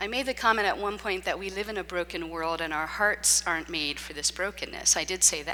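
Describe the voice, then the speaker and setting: Loud and fairly quick, a woman with a medium pitch and a bright, sharp tone speaks with ordinary pitch variation and hardly any pauses. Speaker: preacher. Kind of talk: sermon. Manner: talks nonstop.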